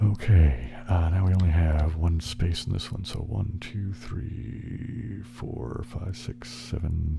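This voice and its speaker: Over music in the background, a soft-spoken man is whispering. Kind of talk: ASMR relaxation video, casual talk while playing puzzle games. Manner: soft-spoken, whispered.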